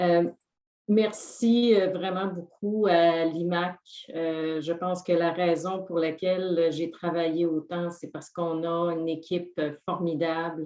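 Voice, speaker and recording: A woman's dark, mellow voice with a Quebec accent, fairly low in pitch, monotone and flat, at a fairly slow pace. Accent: Quebecois French. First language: French. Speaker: award recipient. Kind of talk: acceptance speech. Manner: halting with fillers.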